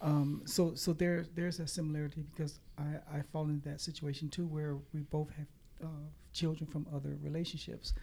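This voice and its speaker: A woman with a very deep, low pitch speaks at a moderate pace in a monotone, flat delivery, her dark, mellow tone somewhat breathy. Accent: American. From Kansas City, Missouri. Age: 60s. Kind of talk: interview testimony. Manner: halting.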